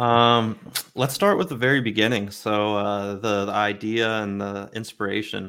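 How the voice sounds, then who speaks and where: With an American accent, a man speaks in a bright, sharp tone and monotone, flat intonation. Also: fairly low pitch for a man, moderate pace. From Maryland, US (Baltimore). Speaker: NFT project creator. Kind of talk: casual interview.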